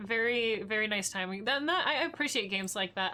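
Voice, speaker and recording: A woman's bright, sharp voice at a fairly high pitch and a moderate pace. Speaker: gaming streamer. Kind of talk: let's play commentary. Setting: live stream. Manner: quiet.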